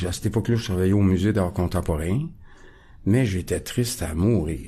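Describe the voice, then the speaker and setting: A man talks at a moderate pace with a fairly low pitch and ordinary pitch variation. His tone is dark and mellow, and somewhat breathy. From Quebec, Montreal (Ahuntsic). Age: 60s. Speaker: recovering alcoholic guest. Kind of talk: testimony. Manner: halting, many hesitations.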